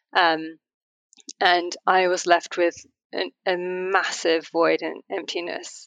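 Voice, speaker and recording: Very slowly and in a flat monotone, a woman speaks at a fairly low pitch, the sound dry and close with no echo over a quiet background. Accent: English. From England. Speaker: fashion model and activist. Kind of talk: interview conversation.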